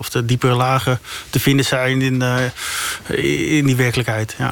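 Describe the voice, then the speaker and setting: A medium-pitched man at a fairly quick pace, monotone and flat in intonation, over noticeable background noise. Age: 30s. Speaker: investigative journalist. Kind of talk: interview. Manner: halting, many repetitions.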